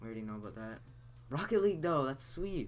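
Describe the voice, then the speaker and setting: A man is speaking. Music plays in the background. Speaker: gaming streamer. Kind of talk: live reaction commentary. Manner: animated.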